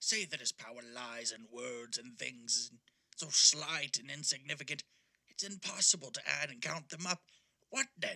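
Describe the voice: The pace stays moderate. What we hear is a put-on character voice. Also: man, medium pitch for a man.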